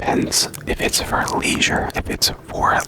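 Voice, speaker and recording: Someone whispers very slowly while noticeable noise fills the background. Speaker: ASMR creator. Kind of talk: ASMR rambling and self-rated questionnaire. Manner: repetitive, stumbling over words.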